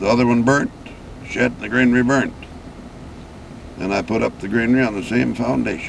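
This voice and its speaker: With an American accent, a man talks fairly quickly at a medium pitch, leaving long, frequent pauses. His intonation is fairly even, and background noise is noticeable. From Wisconsin. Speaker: retired farmer. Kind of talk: interview answer.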